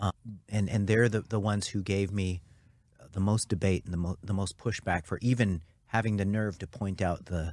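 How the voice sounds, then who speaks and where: The recording is very clean with a silent background, featuring a man with an ordinary speaking voice at a fairly low pitch. He speaks at a fairly quick pace with fairly even intonation. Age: 50s. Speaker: nutrition researcher. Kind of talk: casual chat. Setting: studio.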